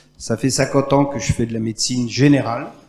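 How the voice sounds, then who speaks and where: Against noticeable background noise, a man talks at a moderate pace and medium pitch with fairly even intonation. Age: 70s. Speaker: general practitioner, audience member. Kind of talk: audience question at round table.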